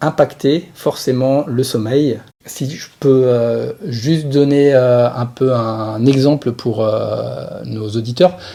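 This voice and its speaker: Very slowly, a man speaks at a medium pitch with a dark, mellow tone and ordinary pitch variation. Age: 40s. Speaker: sports physiotherapist, former pro cyclist. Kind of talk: podcast interview. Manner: hesitant, many fillers.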